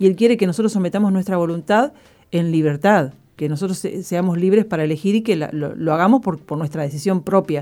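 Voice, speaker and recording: Moving at a fairly quick pace, a woman speaks in a dark, mellow tone at a medium pitch with ordinary pitch variation. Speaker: radio co-host. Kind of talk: reading a testimony aloud; radio show chat.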